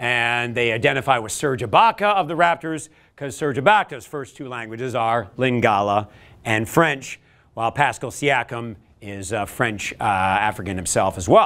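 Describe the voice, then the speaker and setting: Big swings in loudness and ordinary pitch variation from a man at a moderate pace. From Canada. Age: 50s. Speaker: motivational speaker; speaker. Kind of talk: workshop talk. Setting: stage with audience. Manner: animated. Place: classroom.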